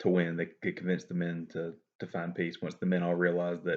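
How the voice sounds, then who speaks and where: The background stays quiet. Words come at a fairly quick speed. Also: man. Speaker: student. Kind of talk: class assignment summary talk. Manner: off the cuff, hesitant.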